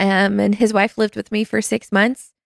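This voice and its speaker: This is a woman speaking with a North Carolina accent. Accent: Southern US, North Carolina. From US South. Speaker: small group ministry staff member. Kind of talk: casual interview conversation.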